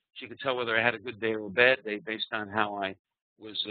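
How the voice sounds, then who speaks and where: Talking at a fairly quick pace, a man with a New York accent keeps a fairly low pitch and fairly even intonation. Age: 60s. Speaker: trading psychology speaker. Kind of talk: presentation. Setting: online live webinar.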